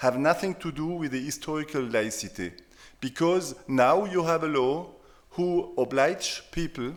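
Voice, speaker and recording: A man with a German accent speaks at a fairly slow pace and a fairly high pitch. The recording is very clean, with a silent background. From France. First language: German dialect. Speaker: sociologist, professor. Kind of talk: panel discussion. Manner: halting.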